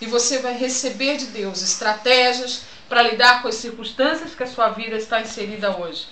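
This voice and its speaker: A woman speaks at a high pitch and moderate pace with fairly even intonation. Light background noise and audible room echo are present. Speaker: pastor promoting church event. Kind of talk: announcement with preaching tone. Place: home room. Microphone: webcam.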